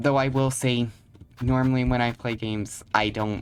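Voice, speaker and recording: A quiet voice at a fairly slow pace, with music in the background. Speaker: gamer. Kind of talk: gameplay commentary. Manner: halting.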